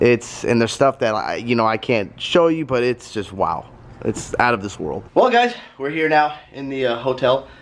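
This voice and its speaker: In a normal speaking voice, a man talks at a moderate pace and medium pitch, with ordinary pitch variation. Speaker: automotive vlogger. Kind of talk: casual vlog talk. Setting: hotel room.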